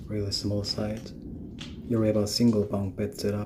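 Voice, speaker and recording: A man speaks quietly. The room echo is audible. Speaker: urban explorer video creator. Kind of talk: exploration vlog narration. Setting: indoors in an abandoned jail. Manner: quiet, low voice.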